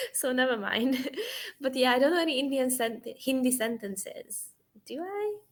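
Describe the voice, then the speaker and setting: A woman with a high pitch talks at a moderate pace, her intonation lively. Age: 20s. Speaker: online English tutor. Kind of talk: casual conversation lesson.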